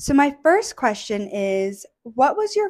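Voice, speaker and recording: The background stays quiet while a woman talks. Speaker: video creator with alopecia. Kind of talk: casual interview. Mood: warm, smiling. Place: home room. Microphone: handheld.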